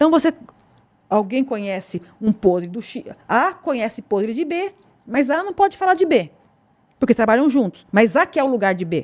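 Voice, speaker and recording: A woman speaks at a moderate pace with a high pitch, very wide pitch swings, and long, frequent pauses. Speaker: police chief. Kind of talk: interview. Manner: measured, pausing to weigh words.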